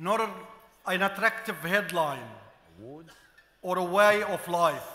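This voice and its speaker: Over noticeable background noise, a man with an Arabic accent uses a raised, projected voice in a high pitch, speaking at a very slow pace with ordinary pitch variation. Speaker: journalist and media figure. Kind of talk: formal gala speech. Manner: formal.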